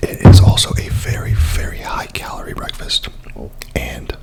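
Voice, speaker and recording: A whispering voice keeps a moderate pace while noticeable background noise plays behind it. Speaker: ASMR content creator. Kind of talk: ASMR mukbang, casual talk to camera. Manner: casual, chatty, with filler words.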